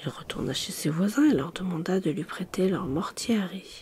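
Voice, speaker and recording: A woman whispers. Her pace is fairly slow. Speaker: ASMR storyteller. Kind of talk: sleep story reading. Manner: soft-spoken.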